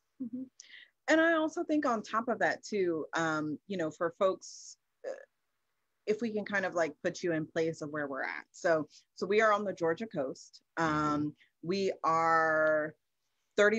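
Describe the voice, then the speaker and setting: A woman with an American accent, a fairly low pitch, lively intonation and a fairly slow pace, with a dry sound with no echo against a quiet background. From US Midwest, Kansas City, Missouri; Missouri. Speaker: farmer and herbalist; keynote speaker. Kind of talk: keynote conversation. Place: home room. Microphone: video call.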